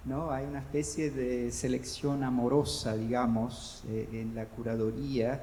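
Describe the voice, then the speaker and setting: In audible room echo, a man with a Brazilian accent talks fairly slowly at a medium pitch, with lively intonation and hardly any pauses. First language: Portuguese (speaking Spanish). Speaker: panelist at book fair. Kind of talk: panel discussion. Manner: halting, many repetitions.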